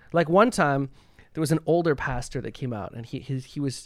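A normal speaking voice, this man with a Canadian accent talks at a moderate pace with ordinary pitch variation on a very clean recording with a silent background. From Canada. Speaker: composer and pianist. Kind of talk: casual chat.

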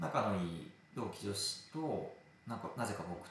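A man speaks fairly slowly at a fairly low pitch, with lively intonation. There is audible room echo. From provincial Japan. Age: 20s. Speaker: office worker. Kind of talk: casual interview chat.

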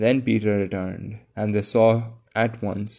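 Someone is reading aloud in a natural voice.

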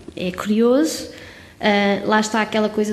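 Audible room echo over noticeable background noise. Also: woman. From Portugal, Covilhã (Serra da Estrela). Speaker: street art curator and architect. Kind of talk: casual interview.

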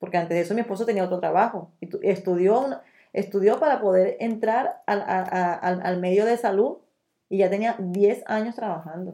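A woman speaks at a moderate pace with a medium pitch and ordinary pitch variation. Her tone is dark and mellow. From Venezuela. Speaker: Venezuelan emigrant, nutritionist. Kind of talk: interview testimony. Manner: halting.

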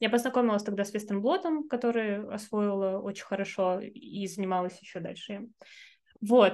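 A woman in a normal speaking voice, at a moderate pace with ordinary pitch variation. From Arkhangelsk, northern Russia. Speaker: researcher and teacher. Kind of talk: casual interview. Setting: video call.

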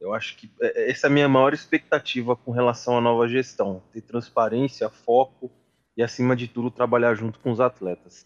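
The sound is dry and close with no echo, carrying a moderate pace, monotone, flat intonation and big swings in loudness. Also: man, medium pitch for a man. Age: 20s. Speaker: sales executive, student association member. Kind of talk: casual interview.

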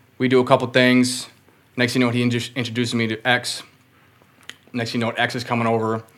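A man speaks at a very fast pace in a medium pitch, his intonation flat and monotone. Long pauses come often, and there is noticeable noise in the background. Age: 30s. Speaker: rapper and concert promoter. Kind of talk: casual chat.

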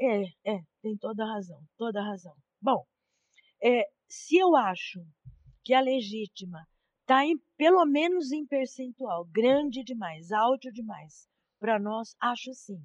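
In a dry, close sound with no echo, a woman with a fairly high pitch and lively intonation speaks at a very slow pace, leaving long, frequent pauses. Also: big swings in loudness. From Brazil, São Carlos, São Paulo state. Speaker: law professor. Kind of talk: interview. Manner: formal.

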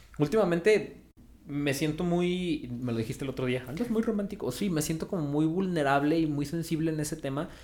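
A man's fairly high voice with a Mexican accent, fairly quick, with ordinary pitch variation. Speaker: podcast host. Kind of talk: casual chat. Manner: casual, slangy.

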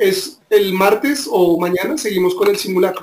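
Pitch variation in this voice is ordinary. It belongs to a man who speaks with a high pitch. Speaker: podcast co-host. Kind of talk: casual chat.

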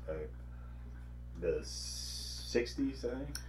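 The words come from a man at a very slow pace. There is a somewhat breathy quality to his voice. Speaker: podcast co-host. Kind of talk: casual chat. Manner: halting.

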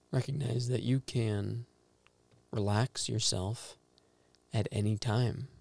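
In a dry, close sound with no echo, a man with a medium pitch speaks at a very slow pace, somewhat breathy and gentle and calm in tone, his intonation fairly even and his pauses long and frequent. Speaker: meditation guide. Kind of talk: guided meditation. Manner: slow, calm, soothing, with long pauses; gentle, instructive, quietly reflective.

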